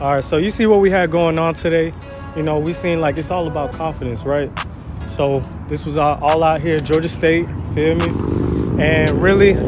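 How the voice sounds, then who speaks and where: Clear music plays in the background. The voice shows ordinary pitch variation, and the sound is dry with no echo. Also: man, moderate pace. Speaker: street interviewer. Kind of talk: casual street interview and vlog outro. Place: street.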